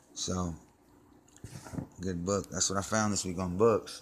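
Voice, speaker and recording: Noticeable background noise sits behind a man's speech. His voice is very deep and low, and his pace is fairly slow. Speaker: trash collector and vlogger. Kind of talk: casual show-and-tell vlog. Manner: hesitant, many fillers.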